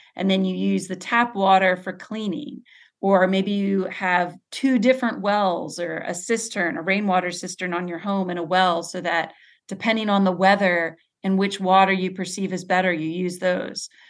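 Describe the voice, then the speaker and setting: Against a quiet background, a woman talks in a normal speaking voice. Her intonation stays fairly even. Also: medium pitch for a woman, moderate pace. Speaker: researcher. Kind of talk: interview about water science.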